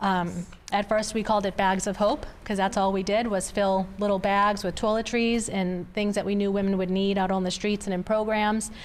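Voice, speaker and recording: A woman talks in a Boston accent at a moderate pace. Her intonation is monotone and flat, her loudness very even, with hardly any pauses. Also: medium pitch for a woman. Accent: Boston North Shore. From Massachusetts North Shore (Revere, Saugus). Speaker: trafficking survivor and ministry founder. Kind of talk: interview testimony.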